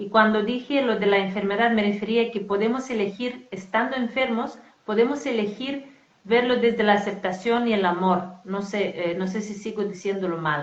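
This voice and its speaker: A woman speaks at a moderate pace in a fairly high voice with ordinary pitch variation. Noticeable background noise and audible room echo surround her. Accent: non-native. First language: not Spanish (speaking Spanish). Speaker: spiritual coach. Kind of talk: casual conversation. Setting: live stream.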